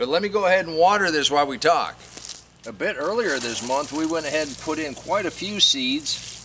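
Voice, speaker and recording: Fairly quick, relaxed-toned speech over noticeable background noise. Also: man, fairly high pitch for a man, lively intonation. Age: 60s. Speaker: gardening YouTuber. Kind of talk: casual garden tutorial. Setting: outdoors in garden. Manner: relaxed conversational.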